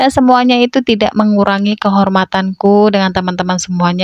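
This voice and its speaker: The speech moves at a fairly quick pace with fairly even intonation. The sound is dry and close with no echo. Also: woman. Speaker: housewife vlogger. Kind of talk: voice-over narration. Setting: at home. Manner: casual chatty.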